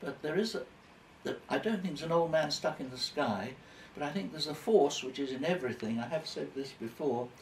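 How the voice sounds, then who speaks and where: Fairly high in pitch, a man speaks fairly quickly with lively intonation against noticeable background noise. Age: 90s. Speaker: elderly man interviewed by his carer. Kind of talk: casual interview chat. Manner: halting.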